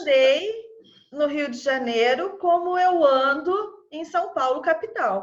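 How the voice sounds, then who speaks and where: A woman's high-pitched voice, lively intonation, very slow pace. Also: big swings in loudness. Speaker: Portuguese teacher. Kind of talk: podcast interview host.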